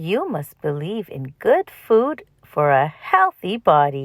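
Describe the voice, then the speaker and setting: Putting on a character voice, a woman speaks at a medium pitch and a fairly slow pace. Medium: read story. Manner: crisp, instructive.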